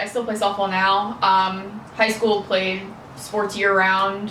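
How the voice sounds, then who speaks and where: With an American accent, a woman speaks fairly slowly in a medium pitch. Audible room echo and noticeable background noise fill the recording. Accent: New York accent, comes out now and again. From New York. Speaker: powerlifter and social media marketer. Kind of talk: casual podcast chat.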